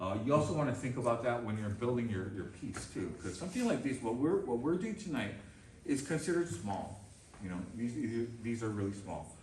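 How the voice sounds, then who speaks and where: In a room with audible echo and noticeable background noise, a man with a medium-pitched voice speaks fairly quickly and with lively intonation. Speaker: bonsai artist giving a demonstration. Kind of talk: live demonstration to a club audience. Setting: club meeting room with audience.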